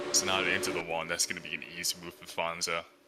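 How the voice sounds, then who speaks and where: With music in the background, the speech races along at a very fast speed. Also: man. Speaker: sim racing commentator. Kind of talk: live commentary. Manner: casual.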